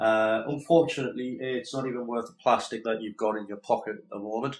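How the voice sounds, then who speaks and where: In a Geordie accent, a man speaks very fast at a medium pitch with fairly even intonation. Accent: northeast English (Geordie). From northeast England, Newcastle area. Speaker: gaming podcast co-host. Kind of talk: casual chat. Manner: halting, many fillers.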